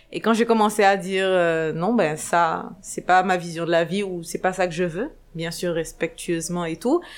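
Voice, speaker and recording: In a very clean recording over a silent background, a woman speaks with a fairly low pitch and fairly even intonation. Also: fairly slow pace. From Senegal, Dakar. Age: 30s. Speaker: entrepreneur and blogger. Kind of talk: interview. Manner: hesitant, many fillers.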